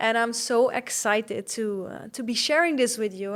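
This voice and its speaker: Over a silent background in a very clean recording, a woman with a high voice and a slight Dutch accent speaks at a moderate pace with lively intonation. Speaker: podcast host, fitness coach. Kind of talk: podcast monologue.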